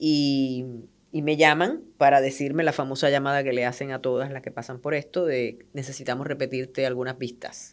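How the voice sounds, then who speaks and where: A woman with a very deep, low pitch speaks at a moderate pace in a monotone, flat intonation. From Puerto Rico. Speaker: journalist and cancer patient. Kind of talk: interview testimony.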